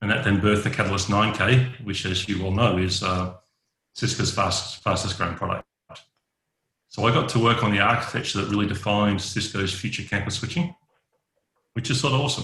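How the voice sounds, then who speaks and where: Speaking at a fairly quick pace with long, frequent pauses, a man with an Australian accent has a bright, sharp tone. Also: fairly low pitch for a man, ordinary pitch variation. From Western Australia, Perth. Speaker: network engineer. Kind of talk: podcast interview.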